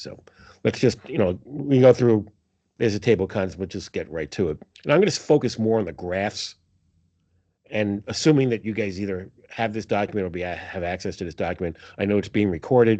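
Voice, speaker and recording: Lively intonation and big swings in loudness mark a man's speech in a New York accent. He goes at a fairly quick pace. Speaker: accounting professor presenting financial analysis. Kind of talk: presentation to faculty meeting. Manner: casual with many fillers.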